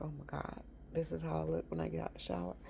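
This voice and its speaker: A woman speaks loudly. Her pace is fairly quick. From rural area. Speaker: motivational vlogger. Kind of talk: casual talk.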